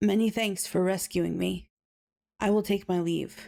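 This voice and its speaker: In a put-on character voice, a woman speaks at a moderate pace with a raspy, medium pitch, flat monotone intonation and very even loudness. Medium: read story. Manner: soft, polite, restrained.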